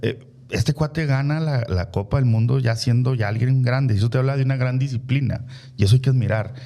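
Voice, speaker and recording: A man with a northern Mexican accent, medium pitch, fairly even intonation, very even loudness and a fairly quick pace. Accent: northern Mexican (Chihuahua) accent, kept. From Chihuahua, northern Mexico. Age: 40s. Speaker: politician. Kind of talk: interview conversation. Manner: hesitant, many fillers.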